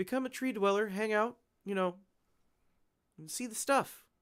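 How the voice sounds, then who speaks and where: At a fairly quick pace, the voice comes through in a very clean recording with a silent background. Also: man. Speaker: airsoft YouTuber hosting a livestream. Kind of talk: casual livestream chat. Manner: animated.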